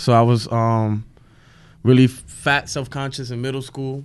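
Over a quiet background, a man with a New York accent talks at a moderate pace in a monotone, flat intonation. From Williamsburg, Brooklyn. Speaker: stand-up comedian. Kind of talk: casual chat.

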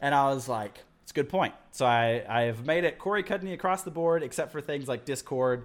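A man with an unremarkable speaking voice and fairly high pitch talks at a fairly quick pace with lively intonation and hardly any pauses, on a very clean recording with a silent background. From Texas Panhandle, US. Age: 20s. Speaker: video editor. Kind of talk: casual chat.

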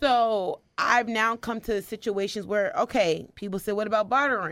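A woman with an American accent, a normal speaking voice at a fairly quick pace, fairly high pitch and ordinary pitch variation, in a very clean recording with a silent background. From US Northeast, New Jersey. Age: 20s. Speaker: public speaker and foster care advocate. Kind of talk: interview conversation. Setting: studio.

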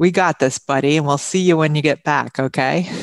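A woman speaks with a New York accent in a very deep, low pitch. The sound is dry and close, with no echo. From Long Island, New York. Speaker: radio host. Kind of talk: radio interview. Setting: radio studio.

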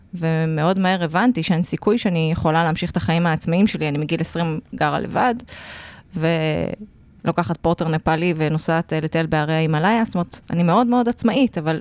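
A woman speaks in a normal speaking voice at a fairly low pitch. She moves at a fairly quick pace with ordinary pitch variation. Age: 40s. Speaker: podcast co-host, lecturer and writer. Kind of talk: casual chat.

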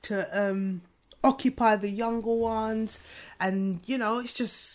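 Recorded very cleanly with a silent background, a woman with an unremarkable speaking voice talks at a fairly high pitch. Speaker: podcast host. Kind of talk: casual chat.

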